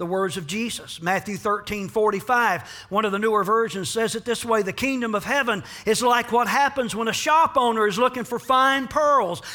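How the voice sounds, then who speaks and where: The voice is raised and projected, bright and sharp in tone, with ordinary pitch variation at a moderate pace. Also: man. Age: 60s. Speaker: pastor. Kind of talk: sermon.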